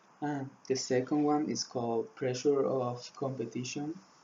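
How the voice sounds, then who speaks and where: Speaking with a Spanish accent, a man holds a medium pitch. His pace is very slow. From Spain. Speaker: student swimmer. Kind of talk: class presentation. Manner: halting, many fillers.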